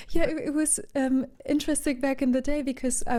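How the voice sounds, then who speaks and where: A woman talks at a moderate pace. Her voice is breathy. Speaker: session vocalist and voice therapist. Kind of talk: interview.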